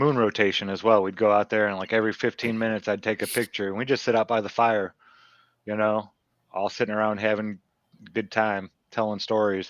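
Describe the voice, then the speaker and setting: Fairly low in pitch and flat in intonation, a man speaks at a fairly quick pace in a dry, close sound with no echo over a quiet background. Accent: Midwestern American. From US Midwest, Northwest Indiana. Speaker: podcast guest. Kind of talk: casual chat.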